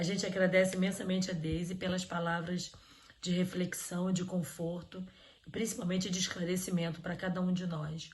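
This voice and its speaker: Intonation stays monotone and flat at a moderate pace. Room echo is audible. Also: woman, medium pitch for a woman. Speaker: event host. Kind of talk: online religious event hosting. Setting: online live stream.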